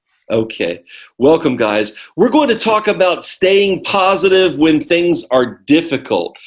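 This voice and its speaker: In an American accent, a man talks at a high pitch with very wide pitch swings. His pace is fairly slow and his loudness very even. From United States. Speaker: ESL teacher. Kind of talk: lesson. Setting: video call.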